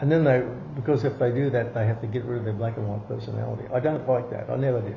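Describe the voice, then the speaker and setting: Very fast speech comes from a man with ordinary pitch variation. Room echo is audible. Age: 70s. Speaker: occult teacher. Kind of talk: interview. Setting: at home.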